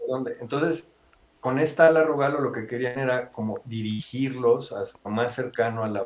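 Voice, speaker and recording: Noticeable background noise fills the space as the man speaks in a medium pitch with ordinary pitch variation. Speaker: paragliding instructor and business owner. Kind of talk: interview.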